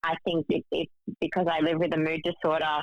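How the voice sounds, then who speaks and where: This woman's pitch is very deep and low, with vocal fry. Her intonation is monotone and flat. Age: 30s. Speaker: student and panelist. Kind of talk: casual chat. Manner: hesitant, many fillers.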